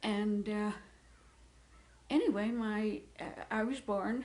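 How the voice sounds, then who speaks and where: Speaking with an American accent, a woman uses a medium pitch. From Utah, US (Gunnison). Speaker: interviewee recounting life history. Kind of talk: oral history interview. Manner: halting, many fillers.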